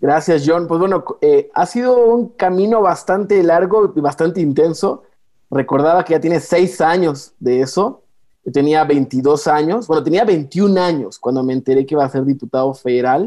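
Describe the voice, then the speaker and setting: A man with a high pitch and a dark, mellow tone talks at a moderate pace with lively intonation. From Mexico, Chiapas (San Cristóbal de las Casas). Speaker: youth institute director, politician. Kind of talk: interview.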